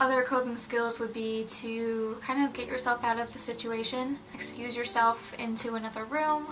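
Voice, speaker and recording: Moderate pace over noticeable background noise. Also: woman. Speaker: mental health vlogger. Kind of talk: casual personal vlog talk.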